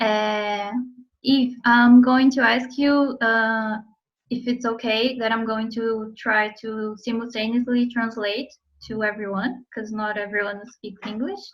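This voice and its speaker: Somewhat breathy, a woman with a Portuguese accent speaks at a fairly slow pace. Her pitch is fairly high, and her intonation is monotone and flat. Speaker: interviewer and interpreter. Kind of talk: casual interview.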